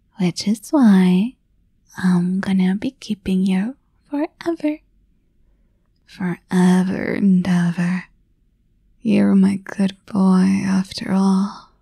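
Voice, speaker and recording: Someone soft-spoken talks at a very slow pace, with long, frequent pauses. The sound is dry with no echo, and the background is quiet. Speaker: voice actor in audio roleplay. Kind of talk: scripted roleplay monologue. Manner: soft, intimate, possessive ASMR voice.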